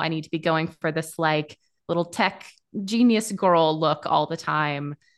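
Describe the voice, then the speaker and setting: A woman speaks in an ordinary speaking voice at a fairly low pitch. Her pitch variation is ordinary, and the background is quiet. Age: 30s. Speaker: SEO agency founder. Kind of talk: interview. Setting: video call.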